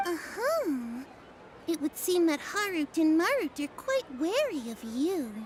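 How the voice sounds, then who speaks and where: A woman's put-on character voice, extremely high with very wide pitch swings, at a fairly slow pace over clear background noise. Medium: solo performance. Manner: dramatic, archaic phrasing.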